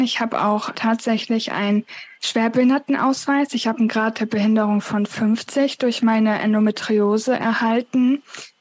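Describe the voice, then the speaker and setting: Using a normal speaking voice, a woman talks at a fairly high pitch and a moderate pace, with fairly even intonation, very even loudness and hardly any pauses. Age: 20s. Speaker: author with chronic illness. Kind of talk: interview.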